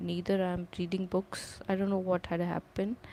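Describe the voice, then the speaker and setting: In a dark, mellow tone, a woman speaks at a medium pitch and a fairly slow pace with monotone, flat intonation. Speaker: language learner practicing speaking. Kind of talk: reading aloud with commentary. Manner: halting, stuttering.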